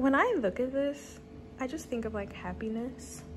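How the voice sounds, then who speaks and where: A woman speaks at a moderate pace, with faint music in the background. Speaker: vlogger. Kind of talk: casual vlog chat. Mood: relaxed, amused. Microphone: phone near.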